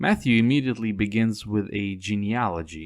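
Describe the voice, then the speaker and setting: A man speaks with a non-native accent on a very clean recording against a silent background. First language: not English. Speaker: Bible study teacher. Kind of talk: Bible study lecture; scripture reading.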